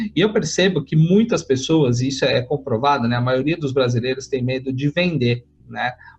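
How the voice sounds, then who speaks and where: A man's voice sounds somewhat breathy. He keeps to a moderate pace. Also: fairly high pitch for a man, ordinary pitch variation. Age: 30s. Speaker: career strategist, podcast host. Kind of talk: interview.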